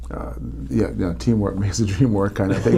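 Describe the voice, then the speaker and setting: A man speaks in a Jamaican accent at a fairly low pitch. Room echo is audible. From Jamaica, Kingston. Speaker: former Olympic bobsledder and motivational speaker. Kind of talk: podcast interview. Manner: halting, many repeated words.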